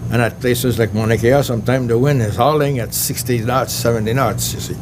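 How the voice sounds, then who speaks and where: Over noticeable background noise and audible room echo, a man talks at a moderate pace in a French accent. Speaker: astronomer. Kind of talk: lecture. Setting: banquet hall with audience. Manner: hesitant, many fillers.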